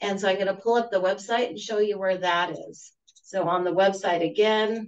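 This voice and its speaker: Loudness swings widely in this ordinary speaking voice, and the intonation stays fairly even. The pace is moderate. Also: woman, medium pitch for a woman. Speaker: webinar presenter. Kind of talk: tutorial.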